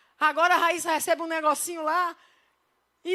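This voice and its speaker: This woman's voice sits at an extremely high pitch, with an animated tone and a fairly quick pace. The recording is very clean, with a silent background. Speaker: pastor. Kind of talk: sermon. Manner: fast.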